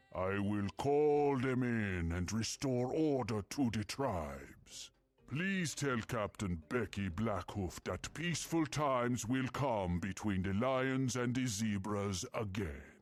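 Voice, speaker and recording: A man's put-on character voice at medium pitch, fairly slow with hardly any pauses, over music in the background. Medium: video game. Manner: regal, solemn.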